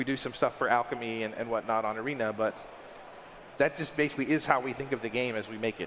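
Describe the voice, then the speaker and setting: This is a man with an ordinary speaking voice. His pitch is medium and his intonation fairly even. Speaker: game company staffer answering Q&A. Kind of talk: panel Q&A. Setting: panel with audience.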